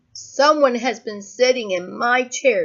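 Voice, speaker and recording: A woman puts on a character voice, high-pitched and raspy. She speaks at a fairly slow pace. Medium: read story.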